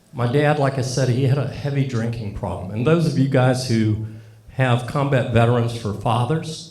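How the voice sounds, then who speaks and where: Noticeable background noise and audible room echo surround a man's voice. He talks at a fairly quick pace at a medium pitch, with ordinary pitch variation. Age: 60s. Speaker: Air Force veteran speaking at a tribute event. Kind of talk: speech at a tribute event. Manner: halting.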